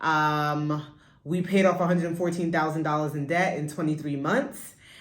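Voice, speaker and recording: A woman talks at a moderate pace with fairly even intonation. Her pitch is very deep and low, and the room echo is audible. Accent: American. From New York, Brooklyn. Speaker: podcast co-host, business owner. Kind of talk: casual chat.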